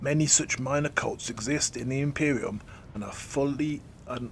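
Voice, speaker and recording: A put-on character voice from a man, resonant and medium-pitched, with fairly even intonation over clear background noise. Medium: read story.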